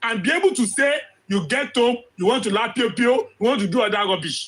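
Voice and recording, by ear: At a fairly quick pace, a man speaks with an extremely high pitch, a fairly bright tone and a slightly husky edge.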